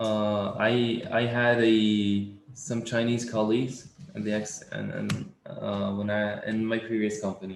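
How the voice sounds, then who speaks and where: A man speaks with an Arabic accent at a medium pitch and a fairly slow pace. His intonation stays fairly even, and there is noticeable background noise. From Tunisia. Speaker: coding interview student. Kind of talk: casual chat.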